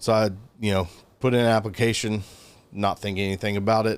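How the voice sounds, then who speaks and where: A man with a Southern US accent talks at a fairly low pitch in a monotone, flat intonation on a very clean recording with a silent background. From US South (Georgia). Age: 30s. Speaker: gun store worker, former English teacher in China. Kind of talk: casual interview. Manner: halting, many fillers.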